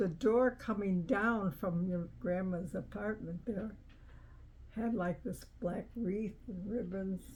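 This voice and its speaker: Very slowly and somewhat breathily, a woman speaks at a medium pitch with fairly even intonation. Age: 80s+. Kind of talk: interview answer.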